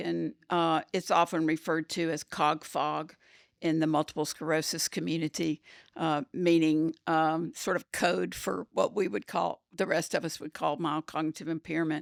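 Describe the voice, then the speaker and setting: In a very clean recording with a silent background, a woman speaks at a very deep, low pitch with vocal fry. The sound is dry and close with no echo, and her intonation is fairly even. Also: moderate pace. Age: 70s. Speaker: podcast co-host living with mild cognitive impairment. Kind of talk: casual chat. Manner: halting.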